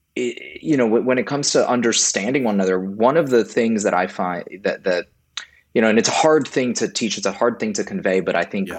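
Here a man uses an unremarkable speaking voice at a medium pitch. His pace is fairly quick and his intonation lively. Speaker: democracy nonprofit director. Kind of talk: casual chat.

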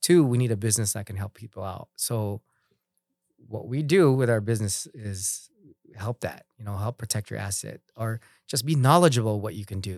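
An unremarkable speaking voice, a man talks at medium pitch and a moderate pace with ordinary pitch variation, in a dry, close sound with no echo on a very clean recording with a silent background. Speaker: business owner. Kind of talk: casual chat.

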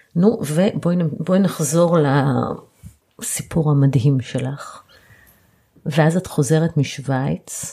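A woman's very deep, low, somewhat breathy voice with a dark, mellow tone, very slow pace, ordinary pitch variation and long, frequent pauses. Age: 40s. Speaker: podcast host, family lawyer. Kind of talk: interview.

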